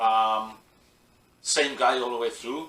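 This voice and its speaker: With audible room echo, a man speaks at a very slow pace with ordinary pitch variation. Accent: Welsh. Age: 40s. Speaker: professional wrestler. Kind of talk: interview.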